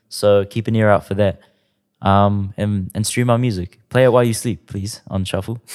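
A man with a New Zealand accent, fairly low in pitch, fairly even in intonation, at a moderate pace, dry and close with no echo on a very clean recording against a silent background. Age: 20s. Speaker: music producer. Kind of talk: casual chat.

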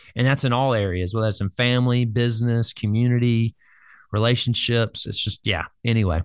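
A man talks at a fairly quick pace with a medium pitch and fairly even intonation. The sound is dry and close with no echo, over a quiet background. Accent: Southern US. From US South, Birmingham, Alabama. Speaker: life coach. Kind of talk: interview.

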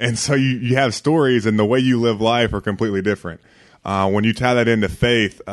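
Against a quiet background, a man with an American accent talks at a very fast pace in a fairly low pitch, with ordinary pitch variation and very even loudness. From Virginia. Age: 30s. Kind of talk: interview.

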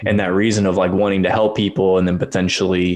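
Against a quiet background, a man with a fairly low pitch talks at a moderate pace in a plain, everyday voice. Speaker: podcast host. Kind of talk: casual conversation. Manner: laughs often, friendly.

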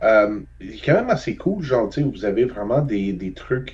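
Using an ordinary speaking voice, a man talks at a moderate pace with ordinary pitch variation. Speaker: video game podcast co-host. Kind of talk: casual chat.

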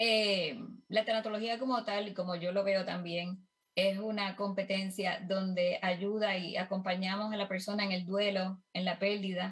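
Speaking in a Puerto Rican accent, a woman talks at a fairly slow pace and medium pitch. Her intonation is monotone and flat. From Puerto Rico. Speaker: life coach and family caregiver. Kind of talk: interview. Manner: halting, many fillers.

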